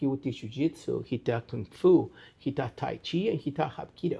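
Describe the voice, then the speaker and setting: Over a quiet background, a man with a Spanish accent talks at a moderate pace, his dark, mellow tone paired with lively intonation. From Chile. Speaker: martial arts instructor. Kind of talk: interview answer. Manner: casual, conversational.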